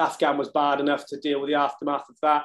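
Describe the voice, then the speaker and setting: A man talks with a southern English accent. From England, Cheltenham. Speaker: ex-marine, fitness equipment business owner. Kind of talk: casual interview. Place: home room. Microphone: webcam.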